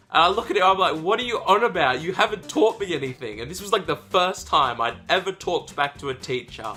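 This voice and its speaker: Music in the background behind a high-pitched man at a very fast pace, his pitch swinging very widely. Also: hardly any pauses. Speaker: YouTuber. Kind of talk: casual vlog monologue. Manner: halting.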